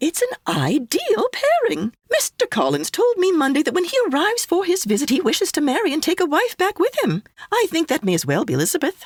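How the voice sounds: Using a put-on character voice, a woman speaks at a fairly quick pace in an extremely high pitch with very wide pitch swings, in a dry, close sound with no echo.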